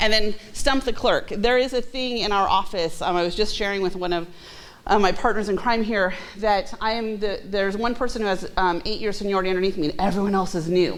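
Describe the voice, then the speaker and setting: At a fairly quick pace, a woman with a medium pitch talks in a room with audible echo. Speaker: city clerk. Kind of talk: presentation to a class. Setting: room with audience, video recorded. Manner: fast; animated.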